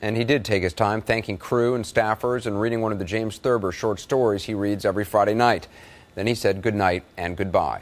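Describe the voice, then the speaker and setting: Here a man speaks with a fairly low pitch and fairly even intonation. It is an ordinary speaking voice. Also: fairly quick pace. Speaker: news anchor / reporter. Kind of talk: TV news report.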